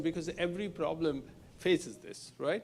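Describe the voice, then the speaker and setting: A man with a Bengali accent, at a moderate pace and with ordinary pitch variation. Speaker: industry researcher, keynote speaker. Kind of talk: Q&A answer after talk. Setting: live-streamed event with audience. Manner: halting, many fillers.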